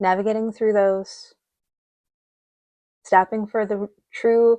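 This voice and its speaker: Her pitch fairly high and her tone dark and mellow, a woman speaks very slowly with fairly even intonation. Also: dry, close sound with no echo. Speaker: tarot reader. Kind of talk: collective tarot reading.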